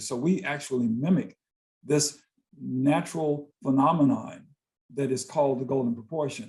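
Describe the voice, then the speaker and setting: A man with an American accent speaks at a moderate pace in a fairly high, somewhat breathy voice with ordinary pitch variation. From US South, Greensboro, North Carolina. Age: 60s. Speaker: visual artist and poet. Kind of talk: interview conversation.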